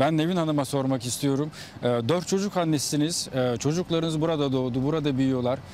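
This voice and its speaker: A man with a fairly high pitch speaks at a moderate pace with ordinary pitch variation, in a dry sound with no echo over light background noise. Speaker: TV reporter. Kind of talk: live interview. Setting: outdoors. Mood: calm, polite, warm. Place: garden.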